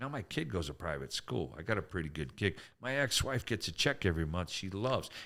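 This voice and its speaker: A man with a very deep, low pitch speaks in an animated, bright and sharp tone with vocal fry. His pace is moderate, and the recording is very clean with a silent background. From Canada. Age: 60s. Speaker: comedian. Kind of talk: casual chat.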